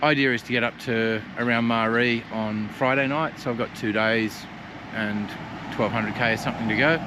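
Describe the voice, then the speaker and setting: There is noticeable background noise as a man talks in an Australian accent. His pace is moderate, with ordinary pitch variation. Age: 60s. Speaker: adventure motorcyclist vlogger. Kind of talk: casual travel vlog.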